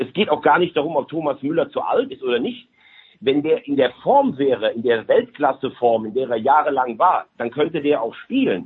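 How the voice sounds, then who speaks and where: A man at a fairly quick pace, his pitch fairly high. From Rhineland, Germany.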